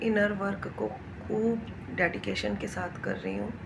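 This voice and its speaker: Against noticeable background noise, a woman's voice comes through with audible room echo. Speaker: spiritual vlogger. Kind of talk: spiritual talk to camera.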